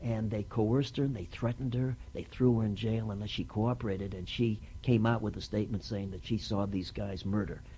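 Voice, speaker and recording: Dark, mellow and somewhat breathy, a man's fairly low voice moves at a fairly quick pace with hardly any pauses. His pitch varies in an ordinary way. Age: 70s. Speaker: actor, writer and producer. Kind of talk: oral history interview. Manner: halting, with many fillers.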